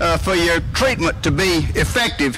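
A man speaks at a moderate pace while light background noise is present. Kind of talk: ceremonial speech. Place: stage. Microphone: podium.

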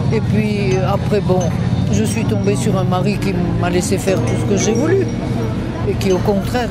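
Loud music plays in the background of a dry sound with no echo. The speech runs at a fairly slow pace. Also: woman. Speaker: feminist historian. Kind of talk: interview answer. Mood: calm, reflective. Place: street. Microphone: handheld.

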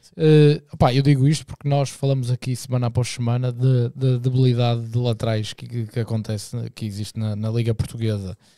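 Against a quiet background, a man with a dark, mellow tone talks at a fairly quick pace with fairly even intonation and hardly any pauses, in a dry sound with no echo. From Portugal. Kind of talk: casual chat. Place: studio. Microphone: studio mic.

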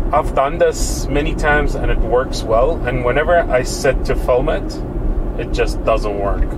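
Noticeable background noise runs under the recording. A man talks at a fairly slow pace. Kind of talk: casual vlog commentary. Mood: mildly annoyed, then hopeful. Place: car. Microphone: camera far.

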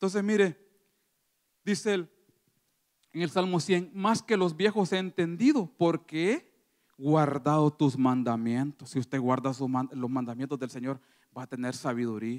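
Against a quiet background, a man with fairly high pitch talks at a fairly slow pace, his intonation lively. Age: 30s. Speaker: lay preacher; preacher. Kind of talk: sermon. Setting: church. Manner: halting, frequent repetitions. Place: church. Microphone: handheld.

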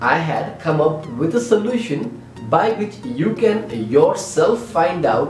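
Faint music plays in the background. There is audible room echo. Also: man. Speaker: tech channel host. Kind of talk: tutorial. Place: home room. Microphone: camera far.

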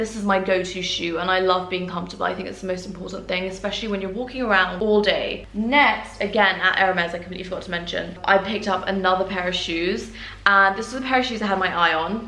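Delivered very fast with hardly any pauses and fairly even intonation, the speech has audible room echo and noticeable background noise. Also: woman, medium pitch for a woman. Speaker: luxury fashion YouTuber. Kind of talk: haul video monologue. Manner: talkative, chatty.

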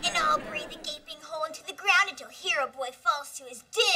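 The voice is extremely high-pitched and moves at a fairly quick pace. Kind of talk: comic overacting. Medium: comedy sketch. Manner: boastful, then exasperated.

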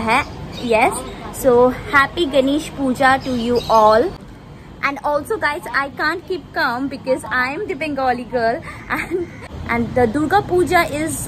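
A woman speaks at a high pitch and a fairly slow pace. She leaves long, frequent pauses over noticeable background noise. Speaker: food vlogger. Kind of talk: casual vlog chat. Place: street. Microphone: phone near.

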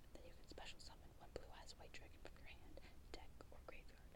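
Whispering from a woman. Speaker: ASMR creator. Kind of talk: ASMR card deck profile, show and tell. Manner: whispered, soft-spoken. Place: home room. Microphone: earbuds.

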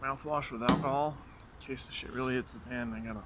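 A man keeps a fairly quick pace while noticeable background noise carries on behind him. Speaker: vlogger doing pepper challenge. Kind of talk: casual vlog chat. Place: garden. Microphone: phone near.

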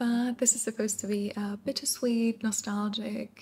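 Here a woman speaks at a fairly slow pace and medium pitch. Her tone is slightly mellow, with little pitch movement.

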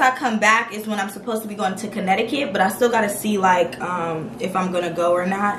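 Audible room echo and light background noise surround the recording. A woman speaks at a fairly quick pace. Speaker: vlogger. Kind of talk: casual vlog chat. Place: home room. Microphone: camera far.

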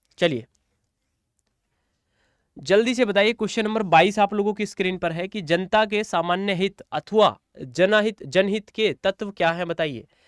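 A man with a high-pitched, clear, smooth tone talks at a moderate pace in a dry, close recording with no echo. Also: ordinary pitch variation, very clean recording, silent background.

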